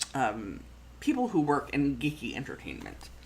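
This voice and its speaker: Here a woman speaks with a very deep, low pitch and an animated tone. Room echo is audible around her voice. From Canada. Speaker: food photographer and planning channel host. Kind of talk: casual live-stream chat. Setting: live stream. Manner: animated, with many fillers and repeats.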